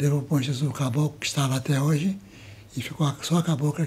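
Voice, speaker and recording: At a fairly quick pace, a man speaks in a somewhat breathy, fairly high-pitched voice. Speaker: community elder. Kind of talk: interview. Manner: halting.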